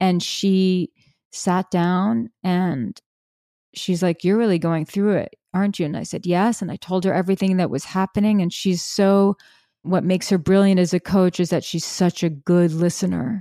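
In a very clean recording with a silent background, a woman with an American accent speaks at a moderate pace and medium pitch, her tone dark, mellow and calm, her intonation fairly even. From New York City. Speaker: relationship coach. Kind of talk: interview conversation.

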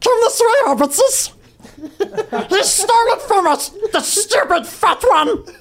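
In a put-on character voice with an extremely high pitch, the speaker moves at a fairly slow pace with long, frequent pauses.

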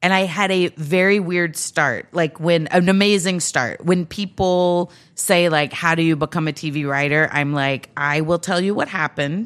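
A woman with an American accent speaks in an unremarkable speaking voice at a moderate pace, with hardly any pauses. Her pitch is fairly low with fairly even intonation, in a very clean recording with a silent background. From Texas, Grand Prairie. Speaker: comedian and writer. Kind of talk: casual chat. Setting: studio.

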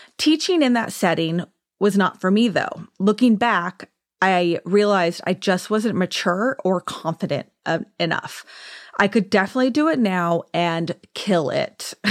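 Speaking with a Southern Californian accent, the voice has lively intonation and a fairly slow pace, with a dry, close sound with no echo and a very clean recording with a silent background. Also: woman, medium pitch for a woman. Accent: Southern California American. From US West Coast, Orange County, California. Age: 40s. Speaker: esthetician and podcast host. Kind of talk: casual monologue. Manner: chatty, often laughing.

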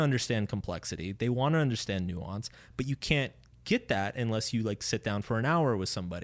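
The recording is very clean, with a silent background. A man with an unremarkable speaking voice talks at a fairly quick pace. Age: 30s. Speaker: author. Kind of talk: interview. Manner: casual.

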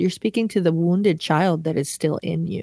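An ordinary speaking voice from a woman, at a fairly quick pace with ordinary pitch variation, on a very clean recording with a silent background. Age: 30s. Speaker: worship leader. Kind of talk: testimony.

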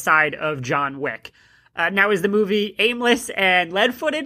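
A woman's normal speaking voice at medium pitch, fairly slow in pace, with lively intonation. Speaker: podcast host. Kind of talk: casual chat.

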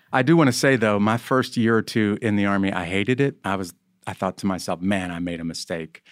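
Talking in an American accent, a man has a fairly low pitch and a normal speaking voice with ordinary pitch variation at a fairly quick pace. The recording is very clean, with a silent background. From rural US small farm community. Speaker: army chaplain and author. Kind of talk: interview conversation.

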